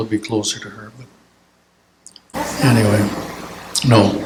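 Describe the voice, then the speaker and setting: A man speaks with an Upper Midwest accent. His pitch varies in an ordinary way. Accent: Upper Midwest American. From Minnesota. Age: 80s+. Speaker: church elder sharing memories. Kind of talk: casual Q&A talk. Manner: halting.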